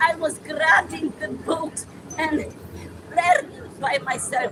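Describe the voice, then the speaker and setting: Over crowd noise in the background, a woman with a Polish accent speaks at a very slow pace in a high pitch and a passionate tone. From Poland. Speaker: retired teacher, tenant activist. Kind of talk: street rally interview.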